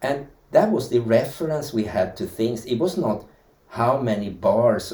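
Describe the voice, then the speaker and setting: Here a man talks with a Swedish accent. His pace is fairly slow. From Sweden. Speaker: dance teacher and historian. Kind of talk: interview.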